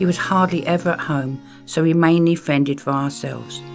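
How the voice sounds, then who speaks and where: A woman's voice shows ordinary pitch variation. Behind her, music can be heard. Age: 70s. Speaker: performance poet. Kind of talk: personal memoir narration.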